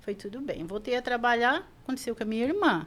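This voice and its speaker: An unremarkable speaking voice moves with ordinary pitch variation. The recording is very clean, the background silent. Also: woman. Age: 60s. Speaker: shop owner. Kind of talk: podcast interview.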